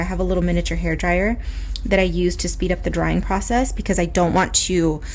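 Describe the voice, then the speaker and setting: A woman with an American accent at a fairly quick pace, with audible room echo and noticeable background noise. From Southern California. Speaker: illustrator and art YouTuber. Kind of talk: casual art tutorial chat. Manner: fast talker; frequent filler words.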